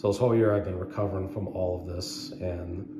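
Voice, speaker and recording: Loud background noise surrounds the speaker. A man talks at a moderate pace. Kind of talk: casual personal story. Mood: earnest, recounting an illness. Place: hall. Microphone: phone near.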